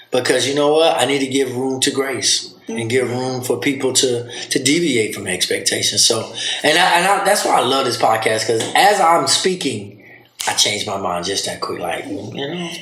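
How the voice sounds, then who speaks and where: With a Southern US accent, a man of medium pitch speaks at a moderate pace with lively intonation, amid noticeable background noise and audible room echo. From US South. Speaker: podcast host, father. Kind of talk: casual chat.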